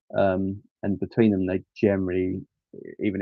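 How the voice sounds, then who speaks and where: A man speaks with an English accent. His pitch is very deep and low, and his pace is fairly quick. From England. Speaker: Lego live streamer. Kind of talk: casual live stream chat. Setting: live stream. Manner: casual, hesitant with frequent ums.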